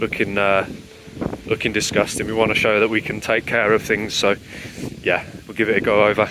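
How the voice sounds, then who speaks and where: Over noticeable background noise, a man with a fairly low pitch talks at a very fast pace. His intonation is monotone and flat, and the sound is dry with no echo. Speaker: car owner vlogger. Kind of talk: casual vlog chat. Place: street. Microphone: phone near.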